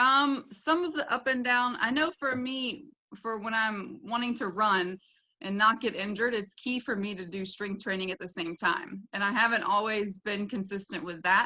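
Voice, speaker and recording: A woman with a slight Southern US accent talks at a fairly high pitch. Her tone is bright and sharp, and her pace is moderate. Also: ordinary pitch variation. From US South (Florida, Tennessee). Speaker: doctoral student and gym member. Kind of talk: podcast interview. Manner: hesitant, many fillers.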